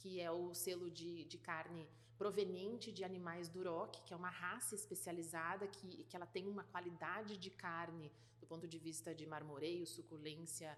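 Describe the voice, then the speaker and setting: A woman speaks with fairly low pitch and ordinary pitch variation. Her pace is moderate. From Rio Grande do Sul, southern Brazil. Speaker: food industry executive. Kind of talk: interview. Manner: hesitant, many fillers and repetitions.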